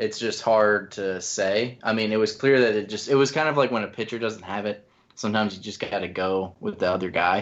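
At a moderate pace and fairly low pitch, a man talks in an unremarkable speaking voice with fairly even intonation. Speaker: staff writer and sports podcast co-host. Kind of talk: casual sports podcast discussion.

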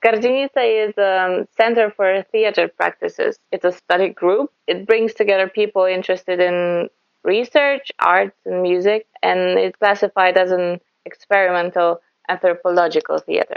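In a Polish accent, a woman talks at a moderate pace with a medium pitch and ordinary pitch variation. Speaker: folk singer. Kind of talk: interview. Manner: halting.

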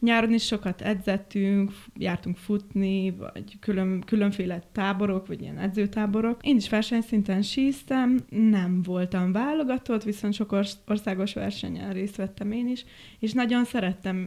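The delivery is fairly slow with fairly even intonation. The tone is dark and mellow. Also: woman, medium pitch for a woman. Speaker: set and costume designer. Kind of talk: casual chat.

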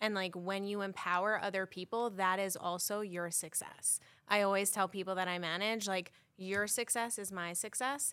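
In a New York accent, a woman with a bright, sharp tone speaks at a moderate pace and medium pitch with fairly even intonation, on a very clean recording with a silent background. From Long Island, New York. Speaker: manager. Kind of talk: casual chat.

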